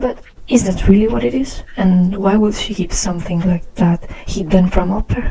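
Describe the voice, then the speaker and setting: Noticeable background noise sits behind a woman speaking with a strong non-native accent. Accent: very strong non-native. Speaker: art channel creator. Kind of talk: commentary over speedpaint.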